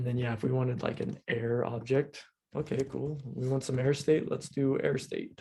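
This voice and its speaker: Somewhat breathy and dark, mellow in tone, a man at medium pitch speaks at a moderate pace with monotone, flat intonation. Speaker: coding instructor. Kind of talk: lecture. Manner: casual, filler-heavy.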